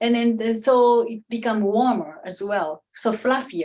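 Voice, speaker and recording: A woman with an unremarkable speaking voice, a fairly high pitch, ordinary pitch variation and a fairly slow pace. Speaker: kimono and Japanese culture expert. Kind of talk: Q&A talk at an online salon.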